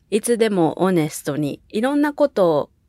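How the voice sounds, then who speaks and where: At a fairly slow speed, a woman talks in a dry, close sound with no echo. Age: 20s. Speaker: podcast co-host. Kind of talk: casual chat. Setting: remote recording over video call. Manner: animated, laughing often.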